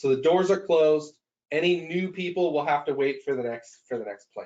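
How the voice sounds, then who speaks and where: A man speaks at a very fast pace. His pitch is high. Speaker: software expert presenter. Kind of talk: software tutorial webinar.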